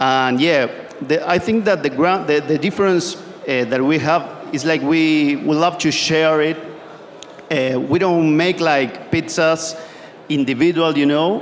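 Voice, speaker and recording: Someone with a Spanish accent talks at a fairly slow pace, with very even loudness and ordinary pitch variation, over noticeable background noise. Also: man, fairly high pitch for a man. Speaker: pizza maker. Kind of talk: panel discussion. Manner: halting.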